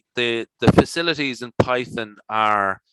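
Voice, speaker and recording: A man's bright, sharp voice with an Irish accent, very slow, dry and close with no echo. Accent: Irish, noticeable. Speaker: statistician and conference presenter. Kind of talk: Q&A discussion. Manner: halting, many fillers.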